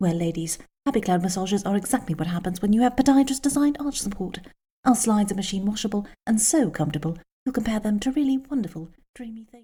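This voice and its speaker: A woman with a British accent, very fast pace, lively intonation, dark, mellow tone, somewhat breathy, and big swings in loudness. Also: medium pitch for a woman. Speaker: voice actor. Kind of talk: TV commercial read.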